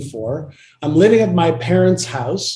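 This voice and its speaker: This man has a high pitch and a dark, mellow tone. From Israel, Tel Aviv. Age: 60s. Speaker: entrepreneur and author. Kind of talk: interview.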